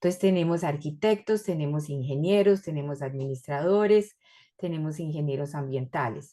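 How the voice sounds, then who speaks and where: A woman with a very deep, low pitch and a dark, mellow tone speaks at a moderate pace with ordinary pitch variation. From Colombia and Ecuador. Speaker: researcher and university lecturer. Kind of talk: academic presentation. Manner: hesitant, many fillers.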